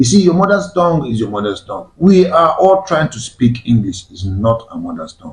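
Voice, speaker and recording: A somewhat breathy man with a Nigerian accent and very wide pitch swings. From Nigeria, Igbo-speaking. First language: Igbo. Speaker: discussion show host. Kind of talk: panel discussion.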